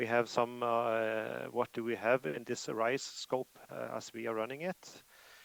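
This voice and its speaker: With a Norwegian accent, a man of medium pitch talks at a fairly slow pace with hardly any pauses and ordinary pitch variation, in a dry, close sound with no echo. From Norway. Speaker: IT professional presenter. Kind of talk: conference presentation. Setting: remote video call to conference. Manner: hesitant, many fillers.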